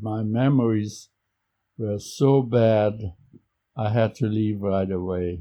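A man with a German accent speaks at a very slow pace, his fairly low pitch carried by fairly even intonation. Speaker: Holocaust survivor. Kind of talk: interview conversation. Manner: halting.

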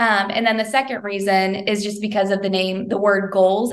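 A woman talks at a medium pitch with a Midwestern American accent and fairly even intonation. Room echo is audible. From southern Indiana (Bedford). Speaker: social media business owner and author. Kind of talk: interview.

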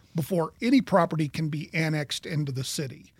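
With an American accent, a man speaks at a fairly quick pace and a high pitch with ordinary pitch variation, recorded very cleanly against a silent background in a dry, close sound with no echo. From Kansas. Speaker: podcast host, marketing business owner. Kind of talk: interview.

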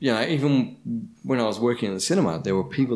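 Very fast speech in an Australian accent, with vocal fry and lively intonation. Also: man. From Shepparton, regional Victoria, Australia. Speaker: former TV presenter, blind tasting winner. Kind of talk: casual chat.

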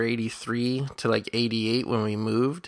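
A normal speaking voice from a man with an American accent, medium in pitch, with fairly even intonation. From Indiana, US Midwest. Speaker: podcast host. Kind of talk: casual chat.

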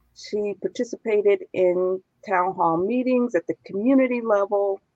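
A woman's ordinary speaking voice, medium-pitched, with an American accent, at a fairly slow pace. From Chicago. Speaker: nonprofit founder and host. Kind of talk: interview. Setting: live stream.

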